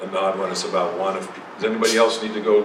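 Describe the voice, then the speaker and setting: A man is speaking with audible room echo. Noticeable background noise can be heard. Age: 70s. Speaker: psychotherapist. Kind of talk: lecture. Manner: halting.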